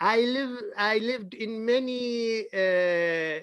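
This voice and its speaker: A man with a slight Indian accent speaks in a high voice with ordinary pitch variation. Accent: Indian-tinged English. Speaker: interviewer, academic. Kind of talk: casual chat. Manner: halting.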